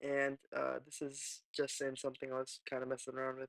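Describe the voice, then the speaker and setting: At a medium pitch and fairly quick pace, a man speaks quietly. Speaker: music producer. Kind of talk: software tutorial narration. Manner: casual, hesitant.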